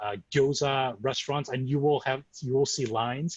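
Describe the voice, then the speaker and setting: Somewhat breathy, a man speaks with fairly even intonation in an American accent. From US Midwest, Chicago. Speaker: sake importer, co-host. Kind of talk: virtual tour presentation. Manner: halting, many fillers.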